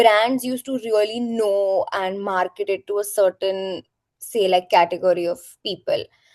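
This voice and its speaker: A woman's plain, everyday voice at a medium pitch and moderate pace, with fairly even intonation and a dry, close sound with no echo. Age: 20s. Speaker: influencer and talent manager. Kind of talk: interview.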